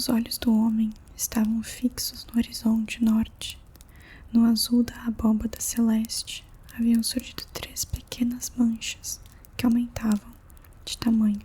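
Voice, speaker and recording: Soft-spoken and gentle in tone, a woman speaks at a fairly high pitch with monotone, flat intonation over noticeable background noise. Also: fairly slow pace. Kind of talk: ASMR audiobook reading. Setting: quiet room with faint candle and fireplace sounds. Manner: soft-spoken, gentle.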